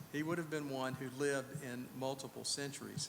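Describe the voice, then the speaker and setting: A man speaks with a fairly high pitch and fairly even intonation. Audible room echo and noticeable background noise fill the recording. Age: 60s. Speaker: preacher. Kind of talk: sermon. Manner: conversational, with fillers.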